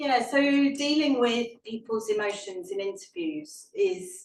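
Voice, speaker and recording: In a British accent, a woman speaks with lively intonation. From Britain. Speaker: historian and author. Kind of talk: Q&A answer at a book talk. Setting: live event with audience and online stream. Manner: halting, with repetitions and fillers.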